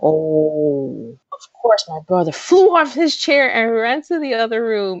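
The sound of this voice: Slow and with big pitch swings, a woman talks at a fairly high pitch, the sound dry and close with no echo.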